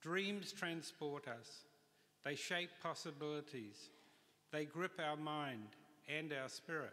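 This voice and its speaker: Very slowly, a man with a New Zealand accent speaks at a fairly high pitch in a bright, sharp tone. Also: ordinary pitch variation. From New Zealand, Auckland. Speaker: industrial designer receiving honorary degree. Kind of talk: graduation address. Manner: formal. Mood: grateful, formal, uplifting. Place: hall. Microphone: podium.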